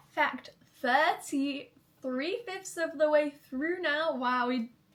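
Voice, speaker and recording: Speaking at a very slow pace with an American accent, a woman uses a high pitch with ordinary pitch variation. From Manchester, England. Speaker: YouTuber. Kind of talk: casual vlog chat.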